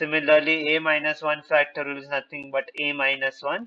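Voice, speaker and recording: This man has an unremarkable speaking voice, fairly high in pitch, delivered at a moderate pace. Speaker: actuarial exam tutor. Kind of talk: lecture.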